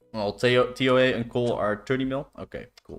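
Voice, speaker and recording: This is a man's voice. He speaks with a Dutch accent. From Netherlands. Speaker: video game livestreamer. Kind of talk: casual livestream chat. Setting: live stream with music and chat.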